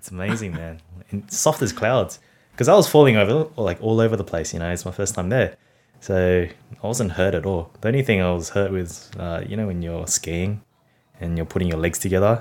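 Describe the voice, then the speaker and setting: A man with an Australian accent speaks at a very deep, low pitch and a fairly quick pace. His pitch varies in an ordinary way, and the recording is very clean with a silent background. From Sydney, Australia (Cabramatta, western Sydney). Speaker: food blogger and optometrist. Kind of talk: casual interview chat.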